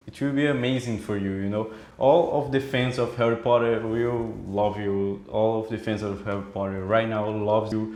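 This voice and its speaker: A man with a Brazilian accent, fairly low in pitch, at a fairly slow pace with ordinary pitch variation and audible room echo. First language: Portuguese. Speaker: fan interviewer. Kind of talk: casual interview.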